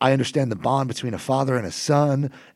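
Talking at a very fast pace, a man uses a medium pitch with vocal fry. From New Jersey. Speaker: copy editor. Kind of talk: casual chat.

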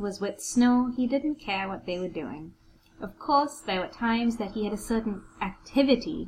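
Here the speaker gives a plain reading aloud, and the pitch varies in an ordinary way.

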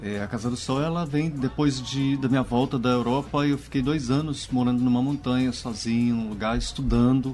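A man's medium-pitched voice at a moderate pace. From Goiás, Brazil. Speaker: stage actor and director. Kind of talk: radio interview.

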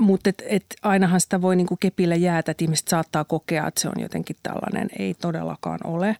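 On a very clean recording with a silent background, a woman speaks at a fairly quick pace with a dark, mellow tone and a dry, close sound with no echo. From Finland, Central Ostrobothnia. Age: 50s. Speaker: magazine editor-in-chief. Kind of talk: casual interview.

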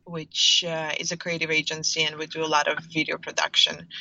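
Over noticeable background noise, a woman with a Russian accent and a fairly low pitch speaks at a moderate pace in a monotone, flat intonation. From Russia, St. Petersburg. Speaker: startup founder. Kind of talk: interview.

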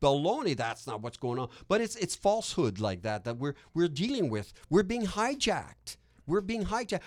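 A man with a Quebec accent speaks at a moderate pace in an animated tone, his high pitch swinging very widely, on a very clean recording with a silent background. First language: French. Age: 50s. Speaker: real estate investor and educator. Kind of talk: podcast interview. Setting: studio.

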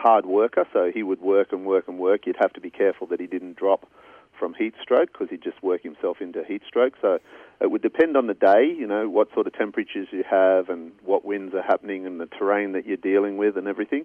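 The voice is a man's. It carries an Australian accent. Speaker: cadaver dog handler. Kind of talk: interview.

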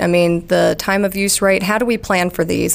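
Over noticeable background noise, a woman with a Southern US accent speaks at a moderate pace and medium pitch with fairly even intonation. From Alabama. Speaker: electrical engineer at a utility. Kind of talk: interview.

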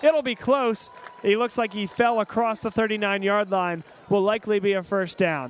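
A man with a high-pitched voice and ordinary pitch variation talks over background music. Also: moderate pace. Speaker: radio play-by-play announcer. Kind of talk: live sports commentary. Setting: radio broadcast from stadium.

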